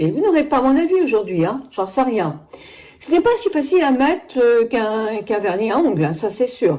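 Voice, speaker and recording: A woman's fairly high voice, fairly slow, with very wide pitch swings. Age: 70s. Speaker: beauty product reviewer. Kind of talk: product review. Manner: chatty, hesitant.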